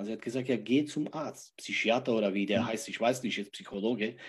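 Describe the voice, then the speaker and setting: At a moderate pace, a man talks in a normal speaking voice at a medium pitch. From Czech Republic. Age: 40s. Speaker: life coach. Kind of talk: interview. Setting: livestream.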